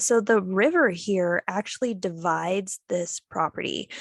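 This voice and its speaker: A woman with an unremarkable speaking voice talks at a medium pitch with ordinary pitch variation, recorded with a dry, close sound and no echo. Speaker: real estate agent. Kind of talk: casual map tour walkthrough. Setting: video call.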